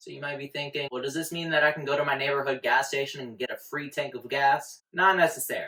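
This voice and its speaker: Very fast delivery with a Texas accent, hardly any pauses and big swings in loudness. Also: man. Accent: Texas accent, deep. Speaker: finance YouTuber. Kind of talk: casual explainer video. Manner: energetic, jokey.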